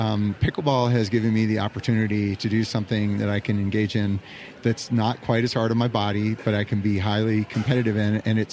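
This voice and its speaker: Music plays in the background as a man talks fairly quickly at a fairly low pitch with monotone, flat intonation. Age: 60s. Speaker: pickleball club owner. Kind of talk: interview. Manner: halting.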